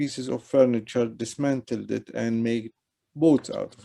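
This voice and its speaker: A man is talking. His voice has a dark, mellow tone. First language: not English (English is third language). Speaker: artist. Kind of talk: panel conversation with slide presentation. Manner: hesitant, with fillers.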